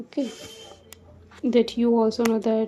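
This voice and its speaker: She is a woman with a non-native accent and a fairly high pitch. Her tone is dark and mellow. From India. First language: not English. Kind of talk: casual talk to camera.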